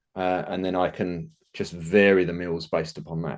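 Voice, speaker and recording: Here is a man with an English accent. His pitch is very deep and low. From England. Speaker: nutrition business owner. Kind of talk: casual interview chat.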